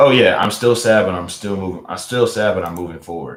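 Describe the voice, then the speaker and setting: A man with a Louisiana accent, talking at a fairly quick pace. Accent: US Southern, Louisiana. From Louisiana, Baton Rouge. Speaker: live streamer. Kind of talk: casual chat. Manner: halting, repeats words.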